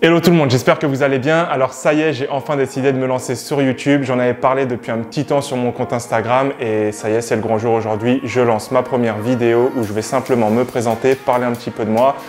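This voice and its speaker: Over music in the background, a man at medium pitch talks at a very fast pace with fairly even intonation and hardly any pauses. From France, Paris suburbs (Val-d'Oise). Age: 20s. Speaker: physiotherapist and YouTuber. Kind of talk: casual self-introduction vlog.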